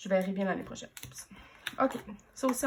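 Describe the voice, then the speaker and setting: A woman with a Quebec accent speaks at a medium pitch, somewhat breathy, with ordinary pitch variation. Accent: Québécois French. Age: 30s. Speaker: planner vlogger. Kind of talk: casual show-and-tell vlog. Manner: hesitant, many fillers.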